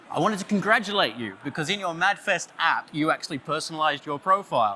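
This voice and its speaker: A man with an Australian accent, high in pitch, fairly quick, animated, with a bright, sharp tone. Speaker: creative director, conference speaker. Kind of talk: conference talk. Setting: stage with audience, listeners on headphones.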